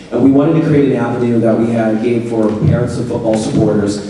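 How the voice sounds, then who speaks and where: A man speaks very fast, with noticeable background noise and audible room echo around him. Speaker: teacher and football coach. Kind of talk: school parent meeting presentation.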